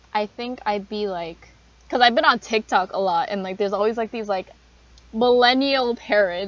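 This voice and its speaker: A woman talks at a moderate pace. Background noise is noticeable throughout. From Canada, Korean family. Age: 20s. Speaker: university student, podcast co-host. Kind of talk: casual chat.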